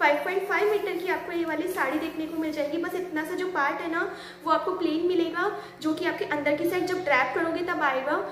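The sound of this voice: A woman speaks at a fairly quick pace with an extremely high pitch, a fairly bright tone, fairly even intonation and few pauses.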